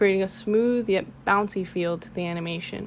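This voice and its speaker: Here a woman is speaking. She has an unremarkable speaking voice. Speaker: motion graphics artist and illustrator. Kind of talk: portfolio presentation narration.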